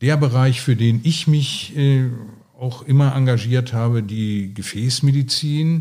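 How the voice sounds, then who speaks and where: Somewhat breathy and dark, mellow in tone, a man at medium pitch speaks at a very slow pace. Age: 60s. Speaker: retired surgeon. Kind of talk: interview. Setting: at his home.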